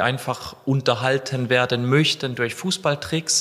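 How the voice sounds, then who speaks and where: Over noticeable background noise, a man talks at a fairly slow pace with a medium pitch and fairly even intonation. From southern Germany, between Freiburg and Lake Constance. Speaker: football freestyler and content creator. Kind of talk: interview.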